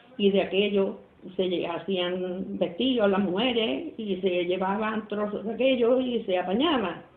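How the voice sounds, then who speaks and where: With audible room echo around her, a woman speaks at a medium pitch with ordinary pitch variation. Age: 80s+. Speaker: grandmother interviewed about history. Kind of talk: oral history interview.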